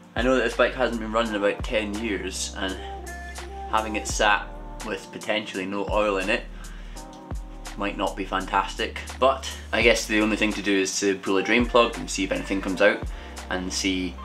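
Clear music plays in the background. The speech moves at a moderate pace with long, frequent pauses. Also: man. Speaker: motorbike restorer vlogger. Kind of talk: casual vlog chat. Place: workshop. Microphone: phone near.

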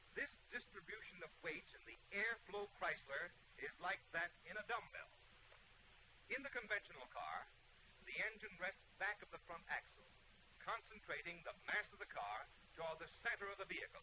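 A man speaks in a high pitch at a moderate pace. His pitch variation is ordinary, with light background noise. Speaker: film narrator. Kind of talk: 1930s sales film narration. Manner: formal, measured, declamatory newsreel-style announcer delivery; earnest and persuasive, rhetorical questions and a promotional push. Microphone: old recording.

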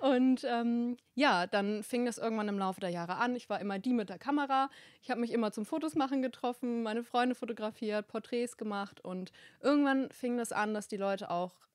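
A woman talks at a fairly quick pace. Her voice is fairly high, with ordinary pitch variation. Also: quiet background, dry sound with no echo. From northern Germany, rural Hamburg area; northern Germany. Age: 20s. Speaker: wedding photographer; podcast guest. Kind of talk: podcast interview, casual chat; interview answer. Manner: many filler words (ähm). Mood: relaxed, friendly, animated. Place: studio. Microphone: handheld.

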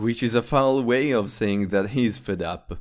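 A man speaking at a moderate pace with music in the background. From Italy. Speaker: gaming YouTuber. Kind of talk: video essay narration.

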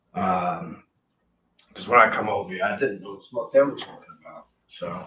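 A man with a fairly low pitch speaks at a fairly quick pace, his loudness swinging widely, over light background noise with audible room echo. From US, New Jersey. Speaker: punk singer; interview guest. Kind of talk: interview. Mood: relaxed, animated storytelling. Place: home room. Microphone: video call.

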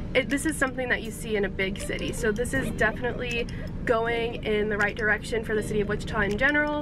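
Speech comes at a very fast pace in a dry sound with no echo, with clear music in the background. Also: woman. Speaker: sports vlogger. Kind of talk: casual vlog chat. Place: car. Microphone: phone near.

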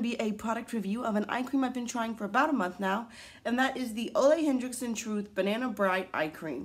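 A woman rattles off her words very fast in a high pitch. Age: 20s. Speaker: beauty vlogger. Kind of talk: product review. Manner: casual, hesitant with fillers. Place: home room. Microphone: phone near.

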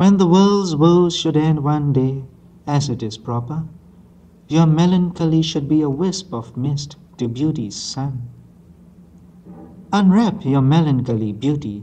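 A man with a Burmese accent speaks at a fairly slow pace, his fairly high voice dark and mellow in tone, somewhat breathy, with ordinary pitch variation and long, frequent pauses. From Myanmar. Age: young. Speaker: poet. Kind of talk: poetry reading. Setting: old analog tape recording. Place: hall. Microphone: old recording.

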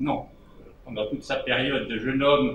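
With light background noise and audible room echo, a man talks at a medium pitch. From Switzerland. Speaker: debate participant. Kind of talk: panel discussion remarks. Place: hall. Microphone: handheld.

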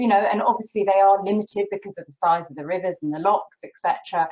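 Her pitch varies in an ordinary way as a woman speaks at a moderate pace. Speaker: travel journalist guest. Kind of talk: interview answer. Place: home room. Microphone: video call.

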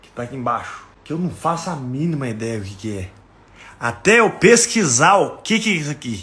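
A man talks at a moderate pace in a fairly high, bright, sharp voice. His delivery is animated, with very wide pitch swings and big swings in loudness. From Brazil, Minas Gerais. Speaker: comedy content creator. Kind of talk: casual comedic monologue. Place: home room. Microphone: phone near.

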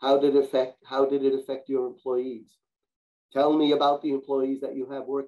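Speaking at medium pitch and a moderate pace, a man has a dark, mellow tone and monotone, flat intonation.

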